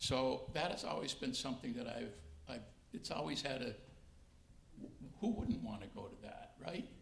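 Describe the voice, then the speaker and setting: Audible room echo surrounds a man's voice. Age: 70s. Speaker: retired judge. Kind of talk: interview.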